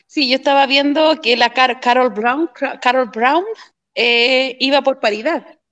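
Very even loudness, a fairly slow pace and fairly even intonation. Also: woman, high pitch for a woman. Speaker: community activist. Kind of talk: casual chat.

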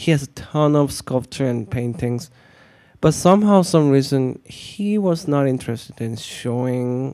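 A man with a Korean accent speaks in a dark, mellow tone. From South Korea. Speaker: artist and art teacher. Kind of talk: casual interview conversation. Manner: soft-spoken.

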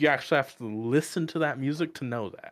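A man speaks in a plain, everyday voice. His pace is moderate, with ordinary pitch variation. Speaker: lab worker. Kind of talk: casual chat.

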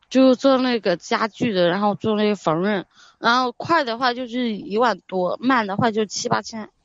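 Ordinary pitch variation marks this delivery, which keeps a moderate pace. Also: woman, fairly high pitch for a woman. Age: young. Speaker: caller seeking relationship advice. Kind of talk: advice call. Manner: halting.

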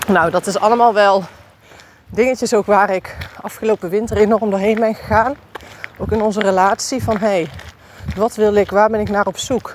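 Pausing long and often, a woman speaks at a moderate pace and medium pitch with fairly even intonation over noticeable background noise. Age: 40s. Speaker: podcast host. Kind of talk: personal monologue. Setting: outdoors, walking.

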